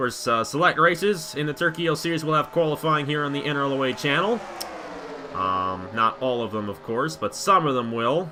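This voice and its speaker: Noticeable background noise sits behind a man. He speaks at a fairly quick pace with lively intonation. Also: fairly high pitch for a man. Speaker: sim racing commentator. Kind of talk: live commentary. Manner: fast.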